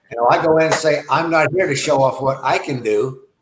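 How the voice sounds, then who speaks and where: At a fairly quick pace, a man with an unremarkable speaking voice shows ordinary pitch variation. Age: 60s. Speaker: self-defense instructor. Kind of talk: interview.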